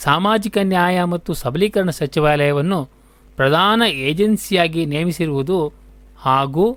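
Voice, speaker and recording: This man speaks with a high pitch. His pitch varies in an ordinary way. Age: 60s. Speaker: community radio presenter. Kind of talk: scripted radio dialogue.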